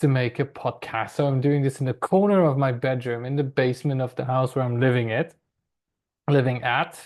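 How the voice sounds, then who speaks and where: A man speaks with a non-native accent. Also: quiet background. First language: not English. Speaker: football and F1 podcaster. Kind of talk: solo podcast monologue. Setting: home bedroom corner. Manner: hesitant, many fillers.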